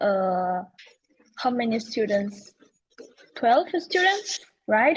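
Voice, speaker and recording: Very slowly, a woman with a fairly high, somewhat breathy voice speaks. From Spain. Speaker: PhD student and meeting organizer. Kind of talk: online meeting. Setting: video call.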